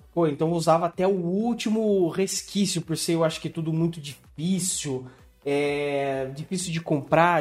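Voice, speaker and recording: A fairly high-pitched male voice, fairly even in intonation, at a fairly slow pace with hardly any pauses, over music in the background. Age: 30s. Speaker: podcast host. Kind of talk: casual chat.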